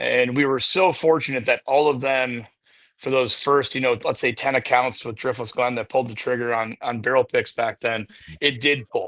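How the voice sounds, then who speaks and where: A man talks at a moderate pace with a medium pitch. The sound is dry and close with no echo, over a quiet background. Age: 40s. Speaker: distillery head of sales. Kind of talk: casual interview chat. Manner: animated storytelling.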